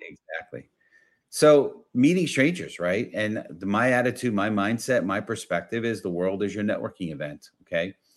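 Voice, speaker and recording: A man's energetic, medium-pitched voice with a New York accent, lively intonation and a moderate pace. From New York, the Bronx. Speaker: business consultant and networking coach. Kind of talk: interview.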